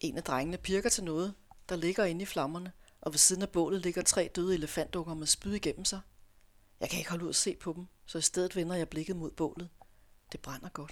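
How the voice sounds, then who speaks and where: A woman talks in a normal speaking voice with a fairly low pitch. Her pace is fairly quick and her intonation fairly even. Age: 50s. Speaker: author. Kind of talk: reading aloud; casual interview chat. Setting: radio studio.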